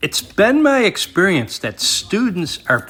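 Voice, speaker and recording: A bright, sharp tone marks this man's American accent as his pitch makes very wide swings. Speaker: record collector vlogger. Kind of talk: casual vlog narration. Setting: record store.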